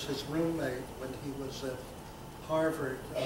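There is noticeable background noise as a man talks with an American accent. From US South. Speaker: rabbi and scholar. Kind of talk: public conversation. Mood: warm, animated, smiling. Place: hall.

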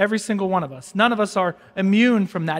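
A man speaks in a calm tone against a quiet background. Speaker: priest. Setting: church, live-streamed Mass with congregation. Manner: calm, earnest, conversational preacher; measured, repeats key lines for emphasis. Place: church.

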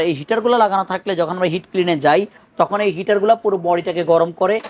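A man's high voice with ordinary pitch variation. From Bangladesh. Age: 30s. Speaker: shop salesman. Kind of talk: product demonstration. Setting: showroom. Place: shop. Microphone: lapel.

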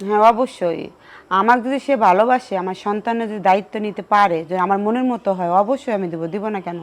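A plain, everyday voice from a woman, mid-range in pitch with normal ups and downs. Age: 30s. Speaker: widow seeking remarriage. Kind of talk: interview.

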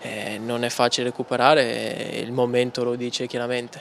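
Light noise in the background behind a man talking fairly slowly. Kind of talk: interview answer. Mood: calm, reflective after losses. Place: hall. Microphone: handheld.

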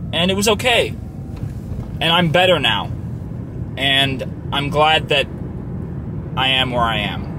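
A man speaks at a fairly slow pace, the sound dry with no echo but with noticeable background noise. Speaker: YouTube vlogger. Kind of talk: casual vlog monologue. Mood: reflective, somewhat somber. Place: car. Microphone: phone near.

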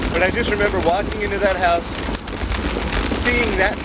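The sound is dry with no echo, though loud background noise is present. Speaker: bike commuter vlogger. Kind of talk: casual vlog chat. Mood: relaxed storytelling. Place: bicycle.

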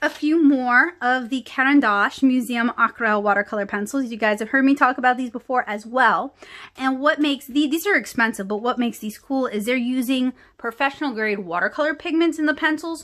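Her bright, sharp tone sits at a high pitch with ordinary pitch variation. The woman speaks at a fairly quick pace over a quiet background. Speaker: art channel host. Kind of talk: product haul review. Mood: enthusiastic, relaxed.

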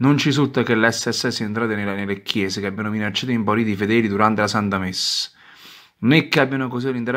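A man speaks very fast at a medium pitch, with fairly even intonation and a bright, sharp tone. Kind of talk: sermon-like reading and commentary of a religious article, with prayers. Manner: fervent, indignant, declamatory; halting, repeating words.

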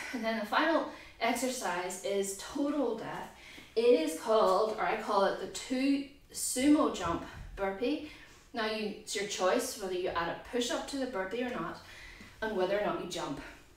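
With audible room echo, a woman talks at a moderate pace using lively intonation. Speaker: fitness instructor. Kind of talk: tutorial. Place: garage.

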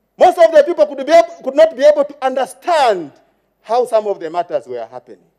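A man with a Zambian accent speaks at a very fast pace in an extremely high pitch, with a dark, mellow tone, lively intonation and big swings in loudness. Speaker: member of parliament. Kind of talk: parliamentary maiden speech, formal address to the Speaker; partisan parliamentary oratory attacking the former ruling party. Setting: parliament chamber. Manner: formal, repeatedly addressing Madam Speaker between clauses; halting with fillers, heckled by chamber murmurs of agreement.

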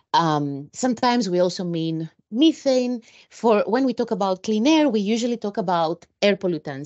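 The tone is slightly mellow, with lively intonation. Delivery moves at a moderate pace. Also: woman.

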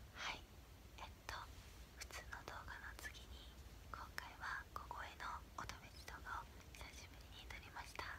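The woman takes long, frequent pauses. Her pace is fairly slow. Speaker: ASMR vlogger. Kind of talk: ASMR whisper video, casual talk to camera. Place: home room. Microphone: phone near.

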